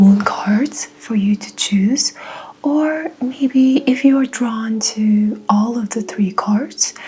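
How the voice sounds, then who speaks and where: Music plays in the background as a woman speaks very slowly at a fairly high pitch with ordinary pitch variation. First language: Mongolian. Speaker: tarot reader. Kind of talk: tarot reading.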